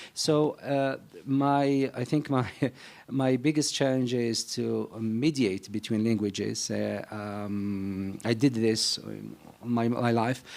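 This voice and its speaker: A man with a North African accent, medium pitch, ordinary pitch variation and a very slow pace. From Algeria (Algiers). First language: Berber. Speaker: novelist. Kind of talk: panel discussion. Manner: halting.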